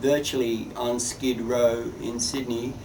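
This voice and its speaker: Audible room echo and noticeable background noise surround a man speaking with an Australian accent. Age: 60s. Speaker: artist. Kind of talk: interview monologue.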